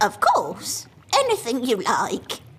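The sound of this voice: This is a high-pitched, cartoonish character voice.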